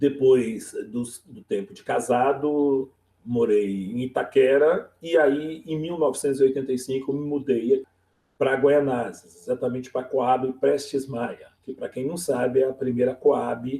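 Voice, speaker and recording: In a dark, mellow tone, a man speaks at a medium pitch and a fairly slow pace, with fairly even intonation and big swings in loudness. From São Paulo east zone, Brazil. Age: 50s. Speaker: teacher. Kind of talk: oral history interview.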